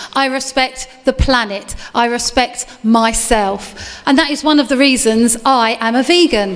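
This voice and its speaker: Over music in the background, a woman with an Essex accent talks at a fairly slow pace in a high pitch, with hardly any pauses. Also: ordinary pitch variation. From England, Essex. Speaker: event compere. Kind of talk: live event hosting. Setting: stage with audience. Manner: animated.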